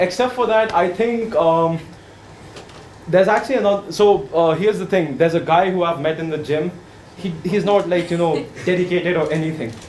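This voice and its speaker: A man speaks at a fairly quick pace with ordinary pitch variation, amid noticeable background noise and audible room echo. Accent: Indian. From India. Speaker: workshop participant. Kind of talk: impromptu speech exercise. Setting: workshop room with audience. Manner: hesitant, filler-heavy.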